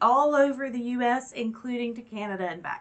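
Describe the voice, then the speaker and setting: A woman with an American accent speaks in a high pitch with lively intonation. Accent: southern US, comes and goes. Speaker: YouTube reaction creator. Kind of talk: casual chat to camera. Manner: animated.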